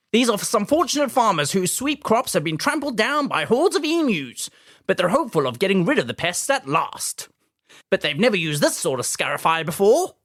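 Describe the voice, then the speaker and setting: A man puts on a character voice in a transatlantic accent, talking at a fairly quick pace with a high pitch and very wide pitch swings. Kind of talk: formal announcer.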